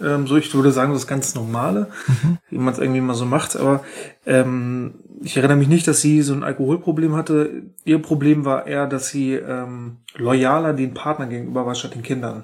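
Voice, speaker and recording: A man speaks at a moderate pace, his medium pitch held in a fairly even intonation. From northern Germany, Schleswig-Holstein. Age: 30s. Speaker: childcare worker. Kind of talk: interview. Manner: halting, many fillers.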